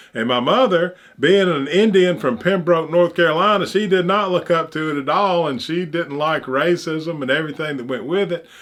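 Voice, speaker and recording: A high-pitched man with an Alabama accent. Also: ordinary pitch variation, moderate pace, hardly any pauses. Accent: Southern US (Alabama). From US South, Opelika, Alabama. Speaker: channel host, commentator. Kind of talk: personal monologue. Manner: halting.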